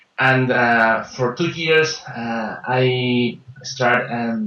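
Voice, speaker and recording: A man speaks with a Peruvian accent and a fairly even intonation. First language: Spanish. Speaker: life and business coach. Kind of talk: interview. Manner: halting, many fillers and repetitions.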